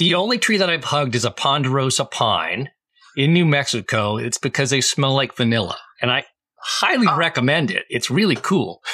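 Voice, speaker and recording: Speaking in a normal speaking voice with an American accent, the speaker uses lively intonation at a moderate pace. Loudness stays very even, and the sound is dry and close, with no echo. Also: man, fairly high pitch for a man. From Massachusetts, Boston area. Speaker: cleantech entrepreneur. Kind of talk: casual chat.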